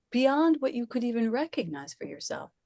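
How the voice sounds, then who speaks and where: The speaker is a woman, somewhat breathy. Her tone is dark and mellow. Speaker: spiritual speaker and former actor. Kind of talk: conversational spiritual talk. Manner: soft-spoken.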